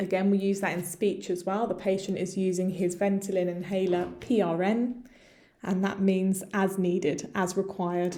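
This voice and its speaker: Over audible room echo, a woman with an English accent speaks at a medium pitch in a dark, mellow tone with very even loudness. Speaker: medical English teacher. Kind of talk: tutorial. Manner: slow, deliberate with repetition.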